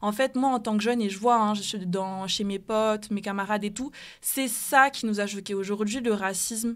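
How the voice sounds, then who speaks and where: A woman talks at a moderate pace and a fairly high pitch, with fairly even intonation and an unremarkable speaking voice. The recording is very clean, with a silent background. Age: 20s. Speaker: anti-racism activist and student. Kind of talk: radio panel debate.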